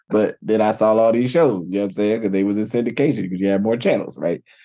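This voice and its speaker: This is a man with an American accent. The tone of his voice is dark and mellow. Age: 40s. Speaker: podcast host. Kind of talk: casual chat.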